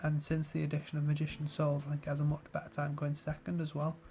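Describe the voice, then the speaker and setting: Quiet and somewhat breathy, a man speaks at a very fast pace with a fairly high pitch and a dark, mellow tone. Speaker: card game youtuber. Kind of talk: deck profile tutorial. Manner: quiet, kept down; casual with fillers.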